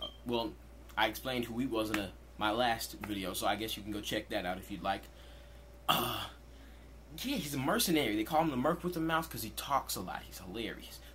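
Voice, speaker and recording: A man talks at a fairly quick pace with long, frequent pauses. Audible room echo and noticeable background noise are present. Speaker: youtuber. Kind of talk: casual vlog commentary. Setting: in his room. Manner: fast.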